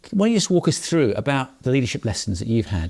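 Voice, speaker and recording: A man talks at a very fast pace with a dark, mellow tone. His voice is somewhat breathy and swings very widely in pitch. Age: 50s. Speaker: podcast host. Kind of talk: interview.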